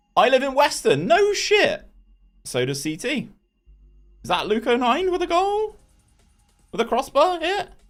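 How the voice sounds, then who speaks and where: A man with a Bristolian accent speaks at an extremely high pitch, his voice making very wide pitch swings. He goes at a fairly slow pace with long, frequent pauses while music plays in the background. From England, Bristol. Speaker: gaming streamer. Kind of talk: live game stream commentary with chat. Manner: animated.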